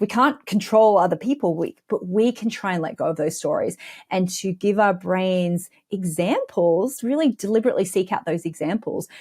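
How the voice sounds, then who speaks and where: In a very clean recording with a silent background, a somewhat breathy woman with an Australian accent speaks at a moderate pace with lively intonation. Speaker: money mindset coach. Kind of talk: podcast interview.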